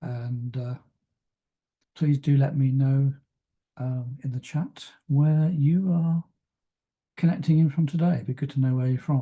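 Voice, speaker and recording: A man's somewhat breathy voice, dark and mellow in tone at a fairly high pitch, with fairly even intonation at a fairly slow pace and long, frequent pauses. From West Country of England. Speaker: travel consultancy coach. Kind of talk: webinar presentation. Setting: online webinar. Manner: hesitant, many fillers.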